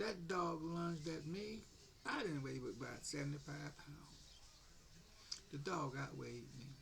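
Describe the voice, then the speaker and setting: A man with a fairly high pitch speaks at a fairly slow pace with long, frequent pauses. His pitch varies in an ordinary way, and the room echo is audible. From US South, Jacksonville, Florida. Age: 70s. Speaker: military veteran. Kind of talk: political rant. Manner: animated.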